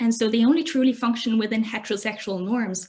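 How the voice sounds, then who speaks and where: Her voice fairly high in pitch, a woman speaks at a very fast pace. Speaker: academic presenter. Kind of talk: presentation.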